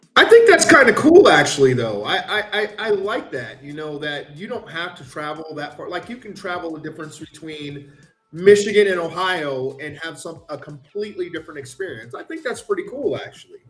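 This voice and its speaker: Music plays behind a man whose high voice moves with lively intonation and big swings in loudness. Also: fairly quick pace, hardly any pauses. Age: middle-aged. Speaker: expat living in Africa. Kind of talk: casual chat.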